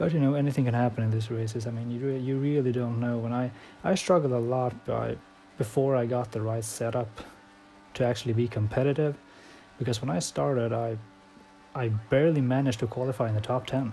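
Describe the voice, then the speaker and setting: Man with a non-native accent, medium pitch, fairly even intonation and a fairly quick pace. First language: not English. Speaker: sim racing gamer. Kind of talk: gameplay commentary. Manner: halting.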